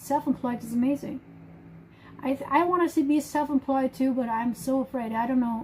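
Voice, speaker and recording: A woman with a German accent at a high pitch, fairly quick pace and ordinary pitch variation, over noticeable background noise. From Germany. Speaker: live streamer. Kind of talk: casual chat. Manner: halting.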